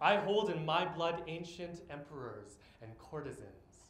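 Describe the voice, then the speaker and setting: The man's speech carries audible room echo. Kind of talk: spoken-word poetry performance. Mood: earnest, reflective. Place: stage. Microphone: camera far.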